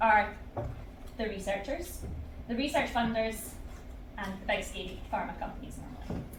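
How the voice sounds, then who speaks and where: Moderately paced female speech, with audible echo from the room and noticeable background noise. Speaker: researcher. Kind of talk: conference talk. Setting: stage with audience. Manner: loud; animated.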